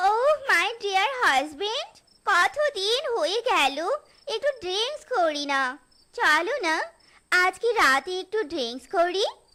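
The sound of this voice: Using a cartoonish character voice, a woman talks at a fairly slow pace in an extremely high pitch with very wide pitch swings.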